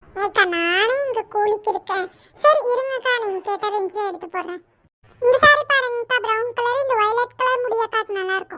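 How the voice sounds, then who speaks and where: Pitched extremely high, a woman puts on a cartoonish character voice. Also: moderate pace, ordinary pitch variation. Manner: persuasive, chatty.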